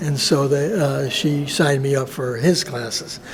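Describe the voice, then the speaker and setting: A man with an American accent talks at a fairly high pitch and a fairly slow pace with ordinary pitch variation, amid noticeable background noise and audible room echo. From US Northeast (Buffalo, New York). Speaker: visual artist. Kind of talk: interview. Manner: halting, many fillers.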